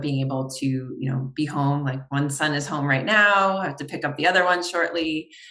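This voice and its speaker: Speaking with an American accent, a woman uses a very deep, low pitch and fairly even intonation at a moderate pace. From New York. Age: 40s. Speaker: optometrist and consultant. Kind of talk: podcast interview.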